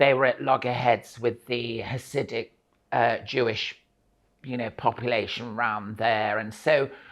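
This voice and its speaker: The speaker talks at a fairly slow pace with a Lincolnshire accent. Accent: northern English (Lincolnshire). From Grimsby, England. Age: 60s. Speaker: actress and singer. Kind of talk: interview answer. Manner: humorous.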